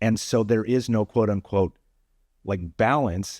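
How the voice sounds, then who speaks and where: An ordinary speaking voice moves at a fairly slow pace, with a dry, close sound with no echo on a very clean recording with a silent background. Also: man. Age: 40s. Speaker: senior pastor. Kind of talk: casual chat.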